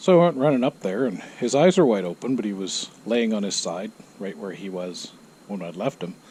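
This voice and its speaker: Noticeable background noise runs under a man speaking at a moderate pace. His pitch swings very widely, and he takes long, frequent pauses. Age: 60s. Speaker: motorcycle vlogger. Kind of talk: casual monologue. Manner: hesitant, many fillers.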